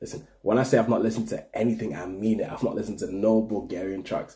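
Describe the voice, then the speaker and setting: Vocal fry from a man over a quiet background. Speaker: reaction video host. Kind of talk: casual vlog chat. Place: home room. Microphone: webcam.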